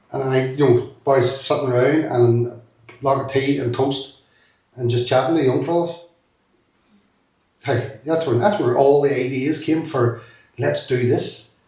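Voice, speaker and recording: A man talks at a fairly slow pace in a medium pitch, leaving long, frequent pauses. Room echo is audible throughout. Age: 50s. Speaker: former youth worker. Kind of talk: interview. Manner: animated.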